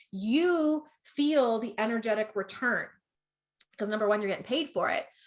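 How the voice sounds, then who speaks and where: Bright and sharp in tone, a woman's voice sits fairly high in pitch, with ordinary pitch variation, a moderate pace, and a slight Canadian accent. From Canada. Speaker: business coach. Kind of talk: online masterclass. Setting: Facebook livestream. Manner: animated.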